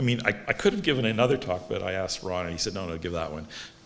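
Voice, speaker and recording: Amid noticeable background noise and audible room echo, the speaker goes at a very fast pace. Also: man. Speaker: stem cell researcher, award laureate. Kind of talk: lecture. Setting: stage with audience.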